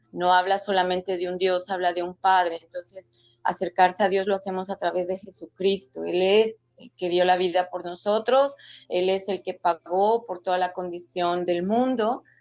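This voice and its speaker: With a plain, everyday voice, a woman speaks at a moderate pace and medium pitch, her intonation fairly even but her loudness swinging widely. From Mexico. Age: 60s. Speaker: author. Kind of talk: interview testimony.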